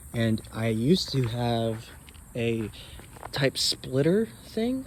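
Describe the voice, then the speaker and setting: The man's voice is somewhat breathy and sits at a medium pitch. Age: young. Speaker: car owner vlogger. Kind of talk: casual walkaround video. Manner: halting, many fillers.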